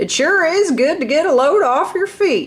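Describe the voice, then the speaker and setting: A loud, put-on character voice from a woman, extremely high-pitched, at a moderate pace. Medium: read story. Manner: jolly, strong and forthright.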